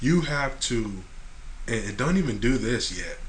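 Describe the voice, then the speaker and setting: A man speaks very slowly, with audible room echo. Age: 20s. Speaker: podcast host. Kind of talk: casual chat.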